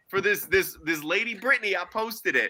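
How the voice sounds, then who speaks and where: This man speaks in a raised, projected voice at a high pitch, his tone bright, sharp and animated. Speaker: sports podcast co-host. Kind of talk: casual chat. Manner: loud.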